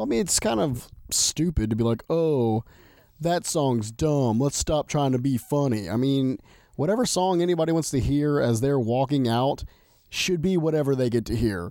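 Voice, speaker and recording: A man with a dark, mellow tone speaks at a moderate pace with lively intonation and very even loudness in a very clean recording with a silent background. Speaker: MMA podcast co-host. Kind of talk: casual chat. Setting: home recording.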